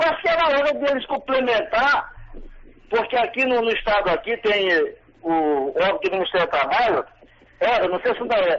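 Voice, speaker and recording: At a moderate pace, a man talks in an extremely high pitch with very wide pitch swings. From Maranhão, Brazil. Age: 60s. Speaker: caller, retired federal employee. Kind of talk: radio call-in opinion.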